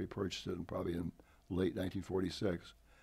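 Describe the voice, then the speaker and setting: A somewhat breathy male voice of dark, mellow tone. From San Francisco Peninsula, California. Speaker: retired army colonel. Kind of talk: interview. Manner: halting with fillers.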